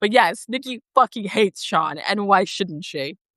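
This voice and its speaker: In an American accent, a woman speaks in an animated, bright, sharp tone with vocal fry, recorded with a dry, close sound and no echo. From Texas, Dallas. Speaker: live streamer. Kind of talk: casual chat. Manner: loud.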